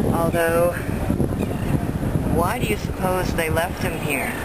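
The recording is dry, with no echo. Loud background noise runs underneath. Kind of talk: casual narration. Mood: alarmed, indignant. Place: waterside. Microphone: phone near.

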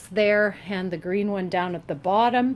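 A woman over light background noise. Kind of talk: tutorial walkthrough. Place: garage. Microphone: phone near.

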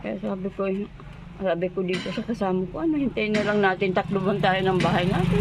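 Moderate pace and fairly even intonation from a woman of medium pitch, with noticeable background noise. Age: 70s. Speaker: elderly villager in need. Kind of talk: interview testimony. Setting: outdoors by highway.

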